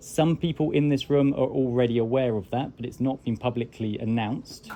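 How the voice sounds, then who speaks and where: Speaking at a fairly quick pace in a British accent, a man uses a medium pitch with ordinary pitch variation. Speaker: tech company founder. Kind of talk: informal talk to a tour group. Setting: classroom with a tour group.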